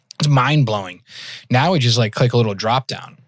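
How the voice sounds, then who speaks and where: A man with a slight Massachusetts accent speaks with ordinary pitch variation in a very clean recording with a silent background. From Massachusetts, near Worcester. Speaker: podcast host. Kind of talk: casual interview chat.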